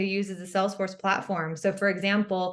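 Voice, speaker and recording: The woman's voice sits at a medium pitch. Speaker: Salesforce professional, head of go-to-market. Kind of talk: podcast interview. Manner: loud.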